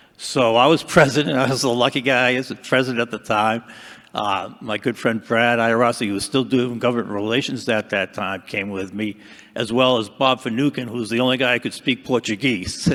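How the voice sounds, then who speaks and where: A man in a Boston accent at a medium pitch, fairly quick pace and fairly even intonation. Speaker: retired dam safety engineer, past association president. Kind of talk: panel discussion.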